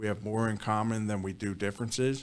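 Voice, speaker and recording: A man's fairly low voice in a Philadelphia accent, very fast and monotone, with flat intonation. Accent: Philadelphia-area American. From Bucks County, Pennsylvania (Philadelphia suburbs). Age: 50s. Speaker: district attorney. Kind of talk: interview.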